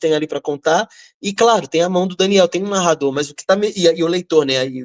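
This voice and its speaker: Speaking with a Rio de Janeiro accent, a man with a high pitch talks at a fairly quick pace with ordinary pitch variation, the sound dry and close with no echo on a very clean recording with a silent background. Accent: carioca. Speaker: writer. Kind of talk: panel discussion. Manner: halting; talkative.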